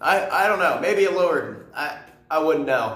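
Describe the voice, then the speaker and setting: A man's high, animated voice with lively intonation at a moderate pace, plus audible room echo. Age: young. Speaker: vlogger. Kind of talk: casual rant to camera.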